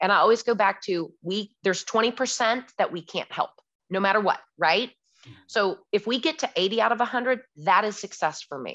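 Against a quiet background, a woman talks in a normal speaking voice at a moderate pace, with fairly high pitch and ordinary pitch variation. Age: 40s. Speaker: commercial real estate broker. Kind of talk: interview. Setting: podcast interview.

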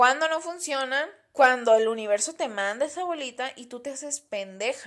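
This woman has a high pitch and lively intonation. She speaks in a Mexican accent. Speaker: podcast host. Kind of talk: casual solo podcast monologue. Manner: relaxed.

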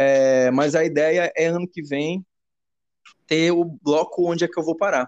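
A man with a fairly high pitch speaks at a fairly slow pace, with fairly even intonation and long, frequent pauses. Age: 30s. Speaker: musician. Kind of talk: casual chat. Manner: halting.

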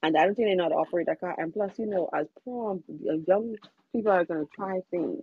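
Speaking fairly quickly in a normal speaking voice, a woman keeps a medium pitch and lively intonation. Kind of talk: casual chat.

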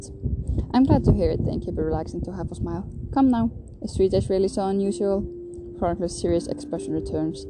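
The voice reads in an unforced way.

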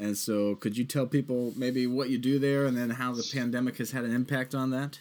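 This man, with an American accent and an unremarkable speaking voice, talks at a fairly quick pace in a medium pitch. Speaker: podcast host. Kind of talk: casual interview.

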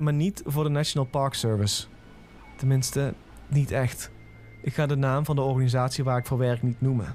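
Music plays behind a man whose loudness stays very even and whose intonation is fairly even. He leaves long, frequent pauses. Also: medium pitch for a man, moderate pace. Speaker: creepypasta narrator. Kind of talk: scripted horror story narration in first person.

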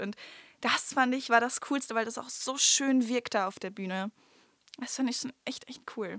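Speaking at a moderate pace, a woman has a high-pitched voice. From Germany, Münsterland (Stadtlohn). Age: 20s. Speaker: amateur stage actress and nursery teacher. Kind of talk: casual podcast interview. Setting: recording studio.

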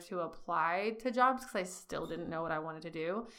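A woman with a fairly low pitch and a bright, sharp tone, with audible room echo. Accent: American. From California, Bakersfield. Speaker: entrepreneur and apparel designer. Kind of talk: interview conversation.

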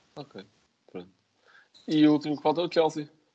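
A man speaks with a European Portuguese accent. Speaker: football podcast host. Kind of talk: casual chat.

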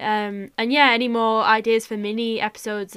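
With a northern English accent, a woman speaks fairly quickly in a fairly high, monotone voice with flat intonation, on a very clean recording with a silent background. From northwest England. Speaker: podcast co-host. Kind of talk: casual chat.

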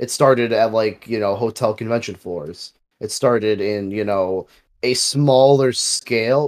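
At a fairly slow pace, a man with an unremarkable speaking voice talks at a medium pitch with ordinary pitch variation. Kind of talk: casual banter podcast chat.

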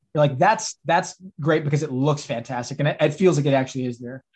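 The speaker has an American accent and a somewhat breathy voice. The intonation stays fairly even. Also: man. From Texas. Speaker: film director and writer. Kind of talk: casual interview. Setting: video call.

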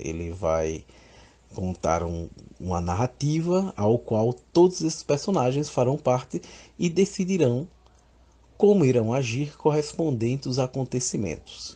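A man speaks at a medium pitch and a fairly slow pace in a dark, mellow, somewhat breathy tone, with very wide pitch swings, long, frequent pauses and a quiet background. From Northeast Brazil, Alagoas (Maceió). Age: 30s. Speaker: RPG association president, gamer. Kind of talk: interview monologue.

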